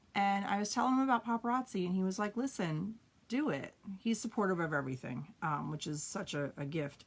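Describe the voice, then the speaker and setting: Speaking at a fairly quick pace with an American accent, a woman uses a medium pitch, an animated tone and very wide pitch swings over noticeable background noise. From New York. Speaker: direct sales consultant and trainer. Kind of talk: live training. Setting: livestream. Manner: blunt.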